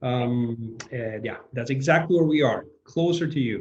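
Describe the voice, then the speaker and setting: Audible room echo surrounds a man's somewhat breathy voice. He speaks at a fairly slow pace. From Venezuela. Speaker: film director. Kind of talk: video call Q&A.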